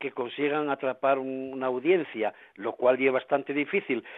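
A man with a fairly high-pitched voice. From Asturias. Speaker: musician. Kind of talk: radio interview. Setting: at home.

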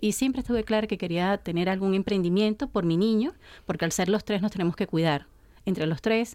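A woman with a Venezuelan accent, dark, mellow tone and very fast pace, on a very clean recording with a silent background. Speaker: gourmet shop owner. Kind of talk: radio interview.

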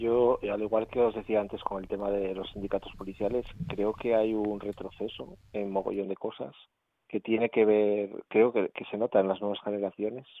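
An unremarkable speaking voice at a moderate pace, with fairly even intonation. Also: man, fairly low pitch for a man. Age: 30s. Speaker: radio panelist. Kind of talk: panel discussion.

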